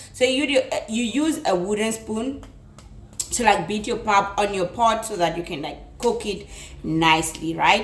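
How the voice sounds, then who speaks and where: Speaking in a South African accent, a woman at medium pitch talks at a fairly slow pace with lively intonation. Noticeable background noise and audible room echo surround her. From South Africa, Limpopo. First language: Tsonga. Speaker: cooking youtuber. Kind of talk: cooking tutorial. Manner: casual, chatty.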